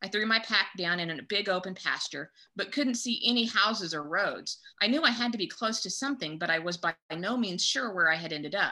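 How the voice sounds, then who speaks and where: Speaking at a fairly quick pace, a woman with an ordinary speaking voice uses lively intonation at a medium pitch. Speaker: podcast co-host.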